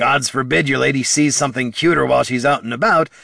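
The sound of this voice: Someone reads in an unforced voice, the pitch moving in an ordinary way.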